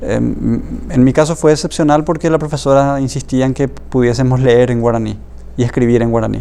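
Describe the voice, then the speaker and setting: A man with a Paraguayan accent talks at a fairly quick pace. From Paraguay, Alto Paraná. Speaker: writer. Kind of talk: interview. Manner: halting, many fillers and repetitions.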